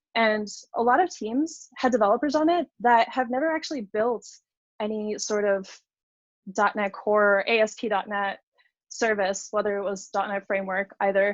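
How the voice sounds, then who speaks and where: Using a plain, everyday voice, a woman speaks at a moderate pace and fairly high pitch with ordinary pitch variation. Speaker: software engineer giving a conference talk. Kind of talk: technical presentation. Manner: many fillers and restarts.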